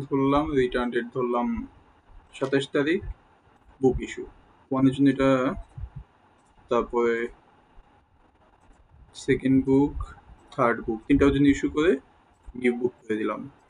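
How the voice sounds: This man has a medium pitch and fairly even intonation, and he talks at a moderate pace. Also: long, frequent pauses.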